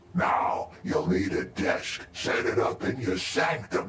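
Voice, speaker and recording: A man performs in a put-on character voice. Clear background noise is present. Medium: video game. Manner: jovial, instructive.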